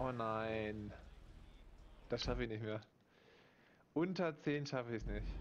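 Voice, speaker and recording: Delivery is fairly slow, with ordinary pitch variation and long, frequent pauses. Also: man, medium pitch for a man. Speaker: gaming YouTuber. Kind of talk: gameplay commentary. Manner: animated.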